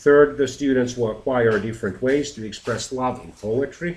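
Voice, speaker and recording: A man speaks at a fairly slow pace, sounding somewhat breathy. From Finland. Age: 40s. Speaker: teacher. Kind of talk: lesson presentation.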